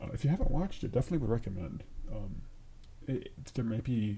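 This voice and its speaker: Ordinary pitch variation shapes a man's dark, mellow tone, which carries vocal fry. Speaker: programming livestreamer. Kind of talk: live coding stream. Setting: livestream at home. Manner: quiet; halting.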